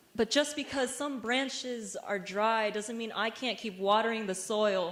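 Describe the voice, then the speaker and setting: With an American accent, a woman speaks fairly slowly at a fairly high pitch. Her pitch varies in an ordinary way over noticeable background noise. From Vietnamese American. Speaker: spoken word poet. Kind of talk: spoken word poetry performance. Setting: university stage performance.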